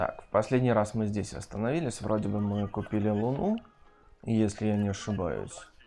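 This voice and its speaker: Over music in the background, a man with a fairly low voice speaks at a moderate pace with ordinary pitch variation. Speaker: gaming streamer. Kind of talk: let's play commentary. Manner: casual.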